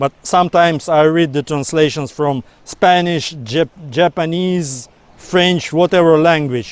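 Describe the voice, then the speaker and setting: A man with a non-native accent speaks at a fairly slow pace in a fairly high pitch, his intonation fairly even and the sound dry and close with no echo. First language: not English. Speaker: book vlogger. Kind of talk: casual monologue to camera. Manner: some halting repetitions.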